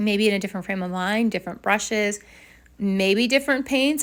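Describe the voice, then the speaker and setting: This woman has an unremarkable speaking voice, medium pitch and ordinary pitch variation, talking at a fairly quick pace in a very clean recording with a silent background. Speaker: watercolor artist, art channel host. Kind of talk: casual tutorial voiceover. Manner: chatty, rambling with fillers.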